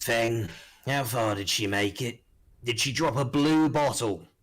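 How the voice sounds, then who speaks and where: On a very clean recording with a silent background, a man puts on a raspy character voice. His pitch is medium and his pace fairly slow. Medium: actual play. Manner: cold, menacing.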